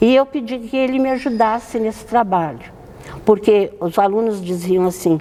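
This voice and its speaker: Noticeable background noise sits behind a woman speaking at a moderate pace with a fairly high pitch and ordinary pitch variation. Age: 90s. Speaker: nun. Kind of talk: interview.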